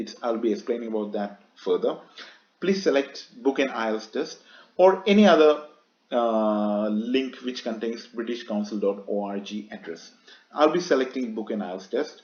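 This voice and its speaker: Speaking with a Keralan accent, a man uses a medium pitch and lively intonation. His pace is fairly quick, with big swings in loudness and long, frequent pauses. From Kerala, India. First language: Malayalam. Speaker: YouTuber, exam tutor. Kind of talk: tutorial. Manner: casual, conversational.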